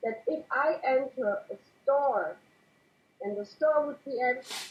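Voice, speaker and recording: A woman with a non-native accent speaks at a high pitch. Her pace is fairly slow and her pitch variation ordinary. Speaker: interview guest. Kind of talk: casual interview. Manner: halting.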